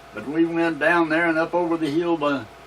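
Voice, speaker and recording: Speaking with an American accent, a man uses a fairly high pitch and fairly even intonation over noticeable background noise. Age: 80s+. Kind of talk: interview answer. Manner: reminiscing, rambling.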